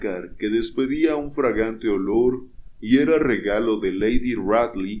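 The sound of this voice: The voice reads in an unforced way.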